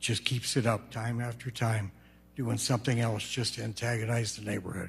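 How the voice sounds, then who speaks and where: Using a monotone, flat intonation with vocal fry, a man talks at a moderate pace and a medium pitch. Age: 70s. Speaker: resident speaking at public comment. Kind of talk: public comment at council meeting. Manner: halting.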